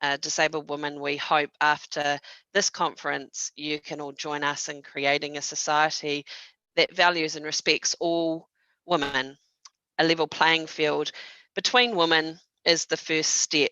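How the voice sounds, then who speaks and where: The speaker has a New Zealand accent and fairly even intonation. The pace is fairly slow. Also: woman, very deep, low pitch for a woman. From New Zealand (Palmerston North). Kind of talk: panel moderation at online conference. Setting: video call. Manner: hesitant, many fillers.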